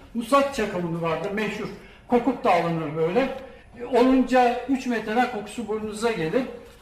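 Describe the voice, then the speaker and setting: A man speaks with a high pitch and ordinary pitch variation. Audible room echo and noticeable background noise fill the recording. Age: 60s. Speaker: retired banker and seed collector. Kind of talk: public talk. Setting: stage with audience.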